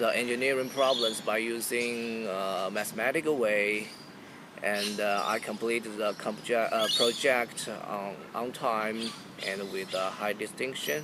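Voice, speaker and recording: A man speaks at a fairly slow pace and a medium pitch. His intonation is fairly even, over noticeable background noise. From China. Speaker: student. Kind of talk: job interview practice. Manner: halting.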